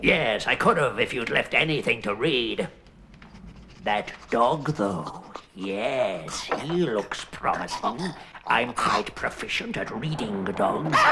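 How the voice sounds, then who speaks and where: Using a cartoonish character voice, a man speaks at medium pitch and a fairly slow pace. His intonation is lively, with clear background noise behind him. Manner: theatrical, pompous.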